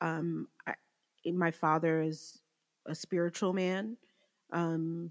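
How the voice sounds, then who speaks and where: On a very clean recording with a silent background, a woman with a fairly low pitch and ordinary pitch variation speaks in a plain, everyday voice, the sound dry and close with no echo. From New Jersey. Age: 30s. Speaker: recovering addict. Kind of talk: testimony.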